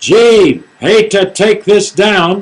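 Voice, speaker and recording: A man puts on a character voice pitched high. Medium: read story. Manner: casual, folksy.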